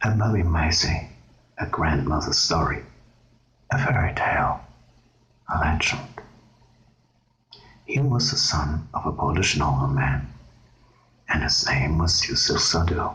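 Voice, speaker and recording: With a German accent, the speaker goes at a fairly slow pace with long, frequent pauses over noticeable background noise. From Germany. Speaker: ASMR creator. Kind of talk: ASMR reading aloud; casual intro. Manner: soft-spoken.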